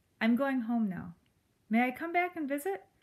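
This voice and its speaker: A woman uses a put-on character voice. Her pitch is high and her pace is moderate. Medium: read story. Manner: earnest, polite.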